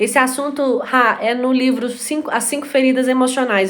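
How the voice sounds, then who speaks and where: Audible room echo surrounds a woman's voice. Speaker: live stream host. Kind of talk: live stream talk. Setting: live stream. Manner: fast.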